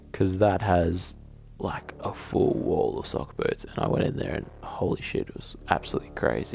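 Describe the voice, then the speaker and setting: The man talks at a moderate pace. Music is playing in the background. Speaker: gamer. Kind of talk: casual gameplay commentary.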